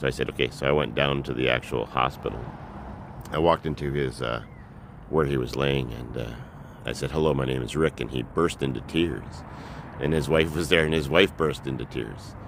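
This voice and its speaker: Talking at a fairly quick pace, a man with a very deep, low voice keeps his intonation fairly even. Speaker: vlogger. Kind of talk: personal storytelling. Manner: halting.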